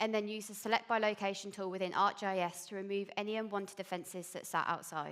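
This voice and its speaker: This woman speaks at a very fast pace with a slight Birmingham accent. Her pitch is fairly high. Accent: slight Birmingham twang. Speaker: police intelligence analyst. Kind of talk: conference presentation. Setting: stage with audience.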